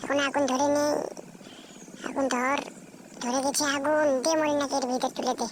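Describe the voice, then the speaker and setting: Over clear background noise, a man in a put-on character voice talks at a moderate pace with an extremely high pitch and monotone, flat intonation. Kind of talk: fan dub voicing. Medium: fan dub.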